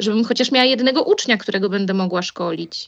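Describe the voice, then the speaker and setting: Very fast speech from a woman at fairly high pitch, ordinary pitch variation, quiet background. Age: 20s. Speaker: airline pilot and flight instructor. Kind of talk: casual interview.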